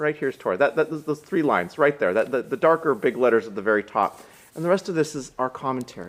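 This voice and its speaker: A man with an American accent speaks very fast in a fairly high voice, lively in intonation and edged with vocal fry. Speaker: rabbi. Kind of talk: sermon. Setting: synagogue live stream.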